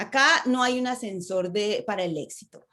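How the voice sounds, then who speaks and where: A woman speaks in an animated tone at a fairly high pitch. The background is quiet. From Latin America. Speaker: public speaking coach. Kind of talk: online conference talk. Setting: video call.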